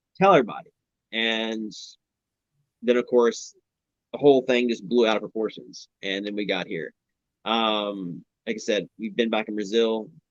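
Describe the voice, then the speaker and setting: Long, frequent pauses break up the speech of a man with a Southern US accent, whose medium pitch carries fairly even intonation. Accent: American Southern. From Louisville, Kentucky. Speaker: reality TV participant. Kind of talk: live stream interview. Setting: live video stream. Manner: fast; words running together.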